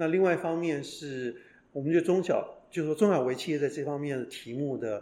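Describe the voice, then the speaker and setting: This man has a fairly high pitch and a dark, mellow tone. The background is quiet. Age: 60s. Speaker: professor, former executive. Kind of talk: interview. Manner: hesitant, many fillers.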